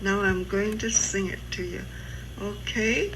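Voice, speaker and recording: A woman at a very slow pace, with audible room echo and music in the background. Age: 80s+. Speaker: elderly family member recorded by relatives. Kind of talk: casual family chat. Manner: halting.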